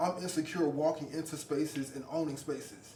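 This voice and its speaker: Amid noticeable background noise and audible room echo, a man with a fairly high pitch speaks fairly quickly in a monotone, flat tone. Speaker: podcast guest. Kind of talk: casual chat.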